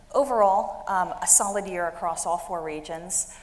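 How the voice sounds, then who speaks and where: A woman speaks with an American accent and ordinary pitch variation. Audible room echo is present. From United States. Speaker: industry analyst, managing director. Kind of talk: conference presentation.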